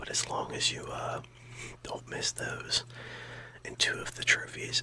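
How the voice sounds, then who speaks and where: Someone whispers in a calm tone at a fairly slow pace, with noticeable background noise behind. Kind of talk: soft whispered ASMR rambling to camera about gaming. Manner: whispered, soft-spoken, calm, rambling.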